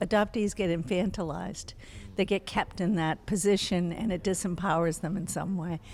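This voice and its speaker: In an ordinary speaking voice, a woman talks at a moderate pace with fairly even intonation. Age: 60s. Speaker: psychologist and family therapist. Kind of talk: interview.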